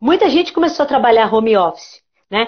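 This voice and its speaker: This woman speaks with a fairly high pitch. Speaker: psychologist. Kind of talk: casual interview on a live stream. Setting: online live stream. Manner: fast.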